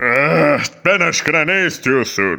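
A man's put-on character voice at medium pitch, with very wide pitch swings and a fairly slow pace. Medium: fan dub. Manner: hesitant, offhand.

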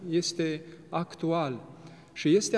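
The man's voice is high-pitched. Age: young. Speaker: Orthodox priest. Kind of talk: religious TV interview. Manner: formal. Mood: calm, reflective. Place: church.

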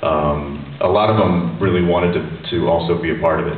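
Music plays in the background as a man speaks at a very deep, low pitch with audible room echo. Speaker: guest. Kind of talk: interview answer. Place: hall. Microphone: pa.

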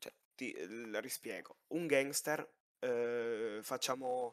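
A man with a medium-pitched voice talks very slowly. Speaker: gamer applying to roleplay server. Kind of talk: oral exam interview. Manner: halting.

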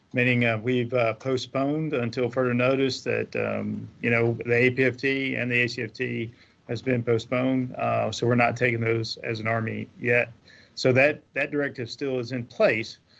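Speaking at a fairly slow pace, a man keeps his intonation monotone and flat. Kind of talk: opening remarks. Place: office. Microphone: video call.

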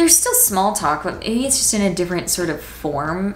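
With an American accent, a woman speaks in very wide pitch swings over light background noise. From Washington, D.C. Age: 20s. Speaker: YouTuber, college student; student vlogger. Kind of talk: casual vlog monologue; casual vlog chat. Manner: casual, filler-heavy (like). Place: home room.

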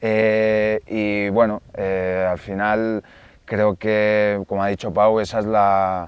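Against a quiet background, a man with a fairly low pitch speaks at a very slow pace in a monotone, flat intonation, the sound dry with no echo. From Catalonia, near Barcelona. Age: 30s. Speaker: woodcock hunter; guest. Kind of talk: casual interview chat. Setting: outdoors in the Pyrenees. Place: forest.

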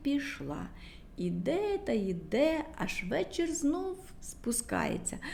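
A woman speaks slowly with a creaky, fry-laden voice and pitch that leaps very widely up and down.

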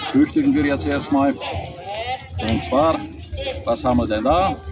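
The sound is dry with no echo, though noticeable background noise is present. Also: man. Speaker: vlogger. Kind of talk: casual vlog chat. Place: street.

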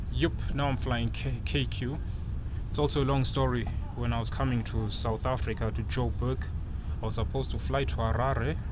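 Through noticeable background noise, a man speaks at a moderate pace with long, frequent pauses. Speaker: travel vlogger. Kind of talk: casual vlog chat. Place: station. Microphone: phone near.

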